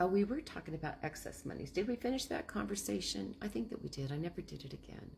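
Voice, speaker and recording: With vocal fry and very wide pitch swings, a woman talks at a fairly quick pace. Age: 60s. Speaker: land investor. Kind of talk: casual talk on investing. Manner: rambling, halting.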